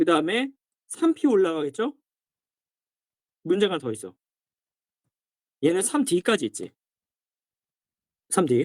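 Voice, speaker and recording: At a very slow pace, the speaker stops often for long pauses. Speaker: science teacher. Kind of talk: lecture. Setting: dormitory. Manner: animated.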